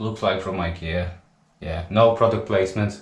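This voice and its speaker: A man talks with ordinary pitch variation while audible room echo fills the recording. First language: not English. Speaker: DIY tradesman. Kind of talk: DIY tutorial. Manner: casual, halting.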